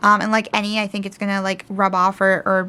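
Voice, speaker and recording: Mumbling, a woman talks at a fairly quick pace. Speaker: tarot youtuber. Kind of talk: unboxing video.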